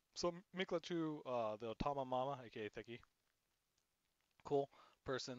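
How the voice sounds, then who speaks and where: A man at a medium pitch with ordinary pitch variation and a fairly slow pace, in a dry, close sound with no echo. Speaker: DJ, music producer and livestreamer. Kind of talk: casual livestream chat reviewing photos. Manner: casual, filler-heavy.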